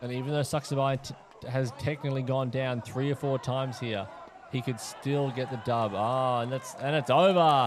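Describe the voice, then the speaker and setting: Moderately paced speech from a man with an Australian accent, intonation fairly even. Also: medium pitch for a man. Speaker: fight commentator and announcer. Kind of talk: live commentary.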